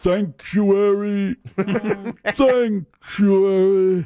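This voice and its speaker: The speaker uses a put-on character voice at a middle pitch. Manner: impression, crying out.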